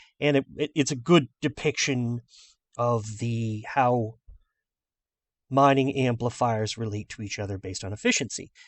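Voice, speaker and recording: A man with an American accent, medium in pitch, with ordinary pitch variation, big swings in loudness and long, frequent pauses. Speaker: gaming video creator. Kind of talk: tutorial. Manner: fast.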